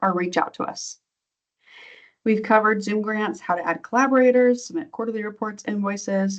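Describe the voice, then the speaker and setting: In a normal speaking voice, a woman with a fairly high pitch talks at a fairly quick pace with ordinary pitch variation. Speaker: grant program trainer. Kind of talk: online training presentation. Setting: video call.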